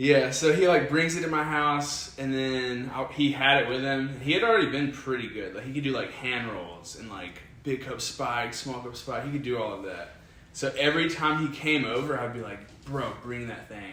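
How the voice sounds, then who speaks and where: In a Southern US accent, the speaker talks at a moderate pace with ordinary pitch variation and big swings in loudness, amid noticeable background noise and audible room echo. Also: man, medium pitch for a man. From US South, Alabama. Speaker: kendama player. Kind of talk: casual interview chat. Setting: in person at a kendama event.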